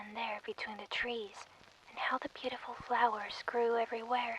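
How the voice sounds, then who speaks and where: A soft-spoken voice with a gentle tone amid noticeable background noise. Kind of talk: soft bedtime story reading, ASMR. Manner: soft, gentle.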